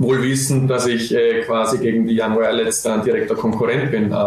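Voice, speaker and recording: At a moderate pace, a man is talking. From Austria, Vorarlberg. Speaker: professional footballer. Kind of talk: podcast interview. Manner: hesitant, many filler sounds.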